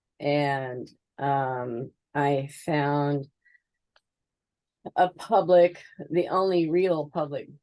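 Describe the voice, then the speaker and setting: A woman's very deep, low voice. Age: 60s. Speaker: pagan minister. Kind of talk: interview.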